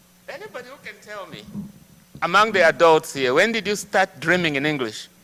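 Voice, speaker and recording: High-pitched and fairly quick, a man with an African accent speaks with lively intonation and big swings in loudness. Noticeable background noise runs behind him. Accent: African accent, can't sound American. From Zambia. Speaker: guest speaker. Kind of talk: church talk to congregation.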